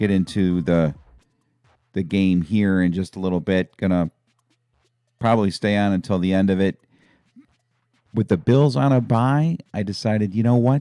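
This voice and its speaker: Quiet and fairly low in pitch, a man speaks at a moderate pace with ordinary pitch variation and long, frequent pauses, his sound dry and close with no echo as music plays in the background. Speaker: sports commentator. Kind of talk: casual chat. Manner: quiet, dialed down.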